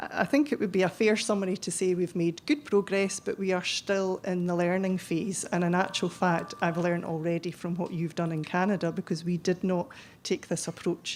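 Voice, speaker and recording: In a Scottish accent, a woman speaks at medium pitch with ordinary pitch variation and hardly any pauses. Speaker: chief pharmacist, conference speaker. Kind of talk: conference presentation. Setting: conference hall with audience. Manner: fast; hesitant, many ums.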